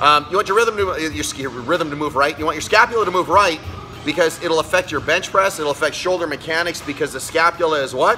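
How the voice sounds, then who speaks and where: Faint music sits in the background. A man talks at a very fast pace with ordinary pitch variation. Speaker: fitness coach. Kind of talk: tutorial. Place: gym. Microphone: phone near.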